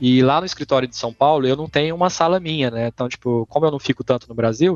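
Very fast male speech, its pitch varying in an ordinary way. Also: dry, close sound with no echo. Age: 30s. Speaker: esports company co-founder. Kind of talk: casual interview chat.

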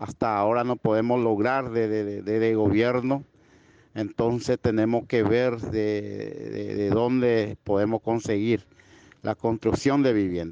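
A man talks at a very slow pace with a dark, mellow tone, monotone, flat intonation and very even loudness. The sound is dry and close with no echo, over a quiet background. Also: medium pitch for a man. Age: 30s. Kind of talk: interview testimony. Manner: halting, repetitive.

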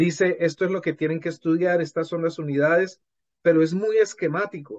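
This man has a plain, everyday voice with fairly high pitch. He keeps a moderate pace. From Colombia. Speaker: language teacher and author. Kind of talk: interview conversation.

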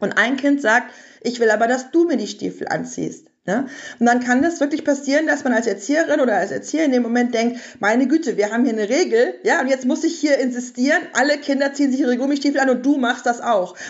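At a very fast pace, a woman talks in a high pitch with ordinary pitch variation and very even loudness. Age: 30s. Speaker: parenting author and journalist. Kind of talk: podcast interview.

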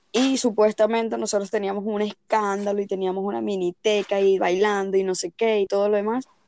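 A woman talks at a fairly quick pace with hardly any pauses, her medium-pitched voice dark and mellow but monotone and flat. The sound is dry and close, with no echo. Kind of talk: casual chat.

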